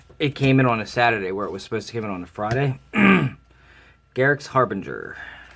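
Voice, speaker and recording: Very fast speech from a man at medium pitch. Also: ordinary pitch variation. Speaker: card game unboxing host. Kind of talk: casual talk to camera.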